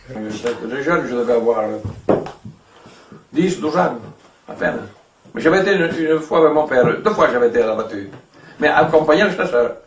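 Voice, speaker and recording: Noticeable background noise and audible room echo around a man's fairly high, lively voice, at a fairly quick pace broken by long, frequent pauses. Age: 80s+. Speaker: elderly villager. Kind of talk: casual chat. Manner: halting.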